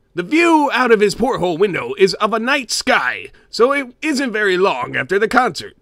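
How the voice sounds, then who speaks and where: A man uses a put-on character voice with an extremely high pitch. He keeps a moderate pace. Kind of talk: dramatic creepypasta reading in character. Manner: gruff, comic storytelling.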